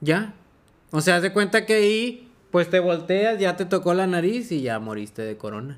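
Delivery comes at a moderate pace. Pitch rises and falls over a very wide range. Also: man, high pitch for a man. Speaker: podcast co-host. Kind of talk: casual chat.

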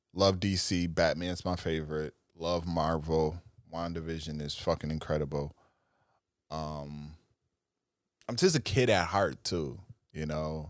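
A man with an American accent and a very deep, low pitch, fairly slow with long, frequent pauses, fairly even intonation, on a very clean recording with a silent background. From US, Buffalo, New York. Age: 30s. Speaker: podcast host. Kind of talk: casual solo monologue.

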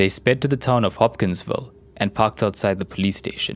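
A man talks in a plain, everyday voice, fairly low in pitch with ordinary pitch variation. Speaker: storyteller narrator. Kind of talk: true-crime style scripted narration, a measured, ominous storytelling cadence.

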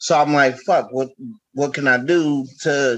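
Using an ordinary speaking voice, a man talks at a fairly slow pace with fairly high pitch and ordinary pitch variation. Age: 30s. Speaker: podcaster and YouTuber. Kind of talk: casual chat.

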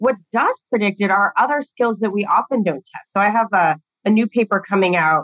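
Fairly quick speech in an American accent, with lively intonation and a dry, close sound with no echo. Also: woman, medium pitch for a woman. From Southern California. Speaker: psychology professor and author. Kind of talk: podcast interview.

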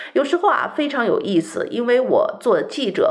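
The speech runs at a moderate pace. There is noticeable background noise. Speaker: radio host. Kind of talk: radio talk show monologue. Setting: radio studio.

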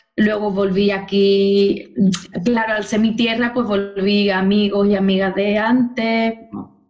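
Against audible room echo, a woman speaks at a very slow pace. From Spain, Cádiz (Andalusia). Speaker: dance teacher, former social worker. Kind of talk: interview.

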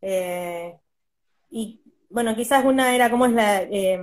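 Recorded very cleanly against a silent background, a woman with a Rioplatense accent speaks with ordinary pitch variation. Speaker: podcast host. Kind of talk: casual chat.

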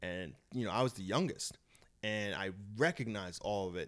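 Animated in tone, a fairly low-pitched man with a New York accent uses lively intonation on a very clean recording with a silent background. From Long Island, New York. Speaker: comedian and boxer. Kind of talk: casual chat.

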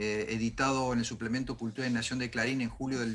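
With music in the background, a man speaks at a moderate pace and medium pitch. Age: 70s. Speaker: historian. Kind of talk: interview.

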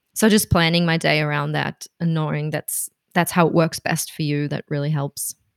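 A woman with a German accent speaks at a very deep, low pitch in a monotone, flat way. Her pace is moderate, and the sound is dry and close with no echo. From Germany, Berlin. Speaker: freelance copywriter and translator. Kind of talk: casual interview.

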